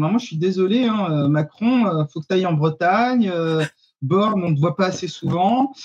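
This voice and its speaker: Lively intonation from a man at a moderate pace. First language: Arabic (speaking French). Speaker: activist. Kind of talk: panel discussion. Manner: hesitant, many fillers.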